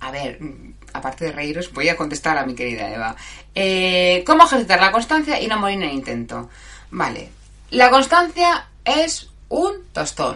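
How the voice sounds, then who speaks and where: A woman of medium pitch speaks with very wide pitch swings, big swings in loudness, and long, frequent pauses. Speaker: live show host. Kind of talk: casual live chat with listeners. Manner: halting, stumbling over words.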